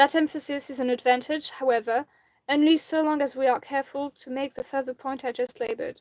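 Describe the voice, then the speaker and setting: A French accent with fairly even intonation, dry and close with no echo, on a very clean recording with a silent background. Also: woman. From France. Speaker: amateur reader of philosophy. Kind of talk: reading aloud; casual chat.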